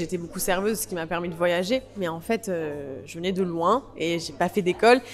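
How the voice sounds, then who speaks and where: There is noticeable background noise as a woman speaks at a fairly quick pace with ordinary pitch variation. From Provence, France. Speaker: actress. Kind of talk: interview. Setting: festival interview. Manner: hesitant, many fillers.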